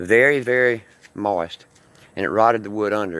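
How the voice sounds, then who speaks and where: Speaking with a Mississippi accent, the man has a fairly low pitch, fairly even intonation, and a moderate pace. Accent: Mississippi Southern US. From US South. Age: 60s. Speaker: homeowner seeking help. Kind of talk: personal appeal video.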